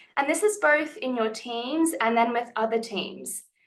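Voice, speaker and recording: A woman with an Australian accent, fairly high in pitch, at a fairly slow pace with ordinary pitch variation. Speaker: lawyer. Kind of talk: panel talk.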